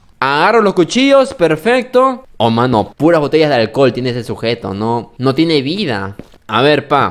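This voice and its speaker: Swinging very widely in pitch, a man talks at a moderate pace. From Peru. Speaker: gaming youtuber. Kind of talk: gameplay commentary. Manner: animated. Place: home room. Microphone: studio mic.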